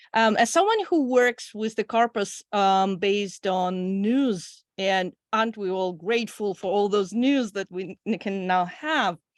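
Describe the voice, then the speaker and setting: Speaking at a fairly slow pace with hardly any pauses, a woman with a Russian accent uses a medium pitch and ordinary pitch variation, the sound dry and close with no echo over a quiet background. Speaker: audience member asking questions, PhD student. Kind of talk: Q&A question.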